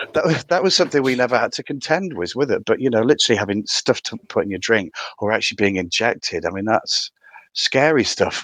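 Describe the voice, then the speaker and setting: Talking very fast with a strong County Durham accent, a man at medium pitch swings his voice very widely, recorded dry and close with no echo. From County Durham, northern England. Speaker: theatre director. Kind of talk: casual interview chat.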